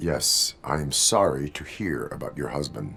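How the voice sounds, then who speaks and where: In a put-on character voice, a man speaks with a very deep, low pitch. His pace is moderate. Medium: video game. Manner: flat, formal, literal.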